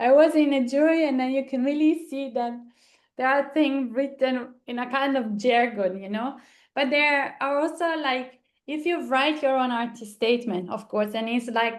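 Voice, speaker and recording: At a moderate pace, a woman with a high-pitched voice speaks in an Italian accent with ordinary pitch variation. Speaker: arts foundation co-founder. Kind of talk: online seminar discussion.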